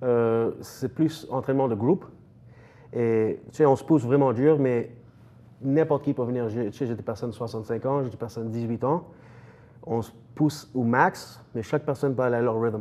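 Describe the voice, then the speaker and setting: Speaking at a moderate pace with long, frequent pauses, a man uses a medium pitch, ordinary pitch variation and a dark, mellow tone. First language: English (speaking French). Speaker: strength coach, gym owner. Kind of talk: TV interview. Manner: halting, many hesitations.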